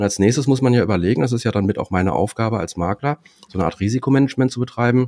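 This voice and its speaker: A man speaks with lively intonation. He goes at a very fast pace. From Dortmund, Germany. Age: 40s. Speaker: insurance and finance broker. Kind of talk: casual interview.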